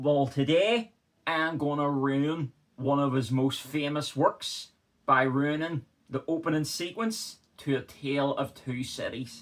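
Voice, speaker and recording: With a Northern Irish accent, a man talks fairly slowly in a fairly high-pitched voice with ordinary pitch variation. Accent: Northern Irish (Belfast). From Northern Ireland. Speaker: historian. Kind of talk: casual talk to camera.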